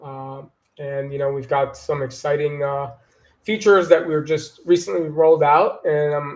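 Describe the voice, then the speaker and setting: A man speaks in a fairly high, somewhat breathy voice. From Long Island, New York. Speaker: marketing director. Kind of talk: interview.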